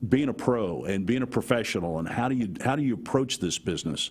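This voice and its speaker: With lively intonation and an unremarkable speaking voice, a man talks at a fairly quick pace. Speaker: sports play-by-play broadcaster. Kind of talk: interview answer. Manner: casual, conversational.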